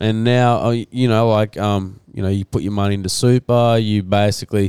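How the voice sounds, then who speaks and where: Speaking in an Australian accent, a man uses a medium pitch and fairly even intonation at a moderate pace. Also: dry, close sound with no echo. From Rockhampton, Queensland, Australia. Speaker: financial planner. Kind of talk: casual chat.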